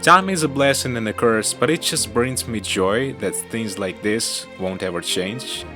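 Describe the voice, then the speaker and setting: With music behind him, a man delivers his words at a moderate pace. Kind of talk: video essay narration. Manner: casual, reflective.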